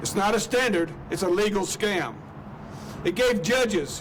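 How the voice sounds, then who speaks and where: Someone with an Alabama accent talks at a moderate pace with ordinary pitch variation, amid noticeable background noise and audible room echo. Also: man. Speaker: activist. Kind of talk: rally speech. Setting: outdoor rally with crowd. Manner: impassioned.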